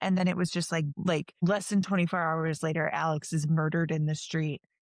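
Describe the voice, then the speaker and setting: In an ordinary speaking voice, a woman talks at a moderate pace with a fairly low pitch and fairly even intonation, the sound dry and close with no echo on a very clean recording with a silent background. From northwest Indiana, Chicago area. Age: 30s. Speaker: street medic and healthcare worker. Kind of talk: casual conversation.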